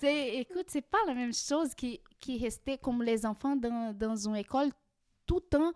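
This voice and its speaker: A woman's high voice in a Portuguese accent, dry and close with no echo. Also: ordinary pitch variation, moderate pace. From Brazil. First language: Portuguese (speaking French). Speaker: immigrant guest. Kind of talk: podcast interview. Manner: halting, with many hesitations.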